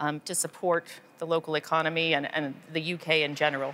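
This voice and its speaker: At a moderate pace, a woman talks in an ordinary speaking voice. Her pitch is fairly low. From United States. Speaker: member of parliament. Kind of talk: interview. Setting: on location at a film studio. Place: studio.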